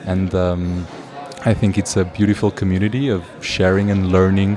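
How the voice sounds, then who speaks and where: Over noticeable background noise, a man with a very deep, low pitch speaks at a moderate pace in a monotone, flat way. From Portugal. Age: 20s. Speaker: circus student, hand balancer. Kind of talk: interview. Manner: halting.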